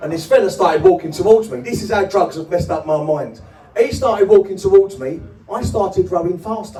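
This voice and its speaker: Music plays in the background as a man talks at a very fast pace with audible room echo. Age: 50s. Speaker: comedian. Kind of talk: stand-up. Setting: stage with audience. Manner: energetic.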